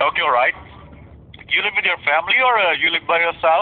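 Moving at a fairly quick pace, a man speaks with ordinary variation in pitch. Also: fairly high pitch for a man.

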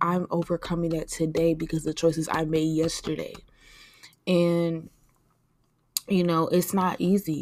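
Using a fairly low pitch and monotone, flat intonation, a woman talks at a fairly slow pace with long, frequent pauses. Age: 20s. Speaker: podcast host. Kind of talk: personal monologue. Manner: casual, conversational.

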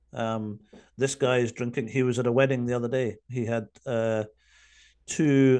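Over a quiet background, a man with a Scottish accent talks in a dark, mellow tone with fairly even intonation. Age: 50s. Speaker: addiction recovery coach. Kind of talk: interview. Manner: halting.

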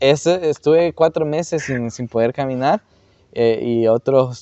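An ordinary speaking voice from a man, medium in pitch, fairly slow, with ordinary pitch variation. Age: 20s. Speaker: church youth worker and teacher. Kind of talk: casual interview. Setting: church auditorium.

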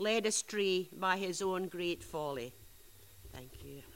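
A woman's bright, sharp voice at medium pitch, fairly slow pace and ordinary pitch variation. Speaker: scripture reader. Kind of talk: reading aloud.

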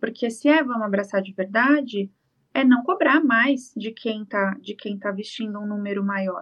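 An ordinary speaking voice from a woman at a fairly high pitch, her pace moderate and her pitch variation ordinary. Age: 20s. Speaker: fashion designer. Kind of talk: casual interview.

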